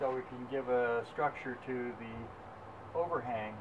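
A man speaks with fairly even intonation. Noticeable background noise sits behind him. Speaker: builder and traveling show performer. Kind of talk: casual talk to camera. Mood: cheerful, upbeat. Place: garden. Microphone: camera far.

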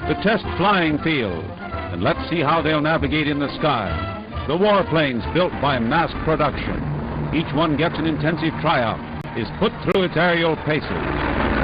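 At a fairly slow pace, the voice comes through dry with no echo over noticeable background noise. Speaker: newsreel narrator. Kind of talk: newsreel narration. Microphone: old recording.

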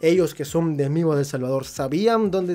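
A man is talking. His pace is fairly quick. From Peru. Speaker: YouTuber. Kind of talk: casual vlog monologue. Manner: animated. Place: home room. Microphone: studio mic.

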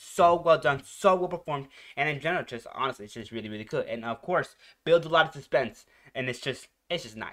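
A man with a bright, sharp tone at a very fast pace. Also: quiet background. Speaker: reaction video host. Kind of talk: casual reaction commentary. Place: home room. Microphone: headset.

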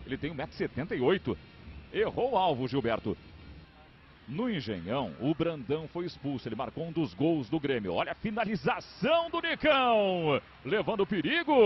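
Here a man talks at a fairly slow pace. His fairly high pitch swings very widely. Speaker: football play-by-play commentator. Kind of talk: live commentary. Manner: animated.

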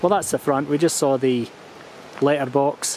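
Speaking at a fairly quick pace, a man keeps a monotone, flat intonation. Light background noise sits under a dry sound with no echo. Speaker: homeowner vlogger. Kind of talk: casual vlog chat. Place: garden. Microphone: phone near.

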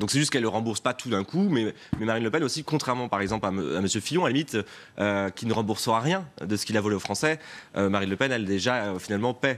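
His pace is very fast. The man's medium pitch varies an ordinary amount. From France, Pays de la Loire. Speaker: regional politician. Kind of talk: TV news interview. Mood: defensive, argumentative political talk. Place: studio. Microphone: lapel.

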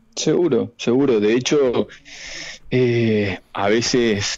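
This man's voice sits at a medium pitch. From Argentina, Entre Ríos (Villaguay). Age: 40s. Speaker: psychiatrist, abuse survivor. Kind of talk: radio interview testimony.

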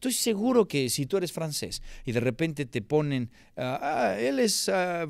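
In a dry sound with no echo and a quiet background, a man's voice moves through very wide pitch swings. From Mexico City. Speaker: film critic, channel host; channel host. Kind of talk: film review monologue. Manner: animated. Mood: annoyed, critical, sarcastic. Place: home room. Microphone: studio mic.

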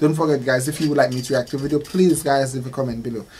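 A man with a somewhat breathy voice rushes at a very fast pace with ordinary pitch variation over light background noise. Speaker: reaction video host. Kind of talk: casual vlog chat. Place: home room. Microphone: earbuds.

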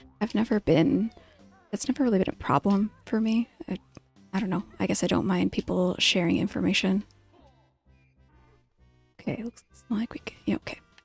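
A soft-spoken woman talks at a moderate pace with ordinary pitch variation and long, frequent pauses. Faint music plays in the background, and the sound is dry with no echo. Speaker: vtuber streamer. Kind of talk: relaxing let's play commentary. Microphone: studio mic.

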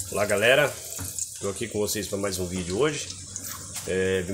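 Light noise runs in the background. A man talks over it. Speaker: home gardener vlogger. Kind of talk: casual vlog chat. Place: garden. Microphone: phone near.

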